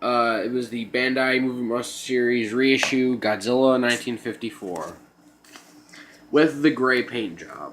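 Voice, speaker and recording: A man at medium pitch talks with noticeable background noise around him. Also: fairly slow pace. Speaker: toy collector vlogger. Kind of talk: haul video monologue. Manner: halting, filler-heavy.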